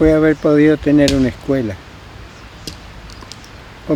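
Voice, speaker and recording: There is noticeable background noise. A man speaks at a fairly high pitch with fairly even intonation. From Argentina, Patagonia (Nahuel Huapi area). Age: 80s+. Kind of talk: interview answer.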